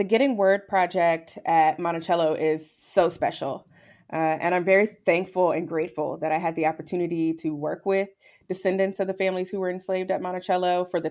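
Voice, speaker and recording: A woman with an American accent and a plain, everyday voice, fairly low in pitch, with fairly even intonation at a fairly quick pace, on a very clean recording with a silent background. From Virginia. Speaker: historian. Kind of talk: interview.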